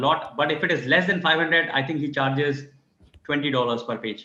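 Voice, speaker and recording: A man talks at a fairly quick pace with fairly high pitch and fairly even intonation. Room echo is audible. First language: not English. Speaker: academic symposium organizer. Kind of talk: video call meeting. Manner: halting, many repetitions.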